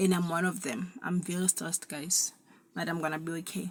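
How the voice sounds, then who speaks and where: Somewhat breathy speech from a woman at medium pitch and moderate pace. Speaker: vlogger. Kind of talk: casual monologue. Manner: halting, many repetitions.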